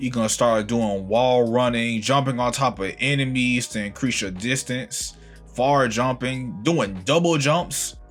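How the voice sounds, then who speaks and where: A man's medium-pitched voice with ordinary pitch variation and music in the background. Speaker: game reviewer. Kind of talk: casual game review to camera.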